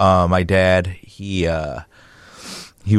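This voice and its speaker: Against a quiet background, a man with a Chicago accent talks in a monotone, flat intonation. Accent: Chicago American English. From Chicago area, US. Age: 30s. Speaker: muralist and artist. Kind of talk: casual interview.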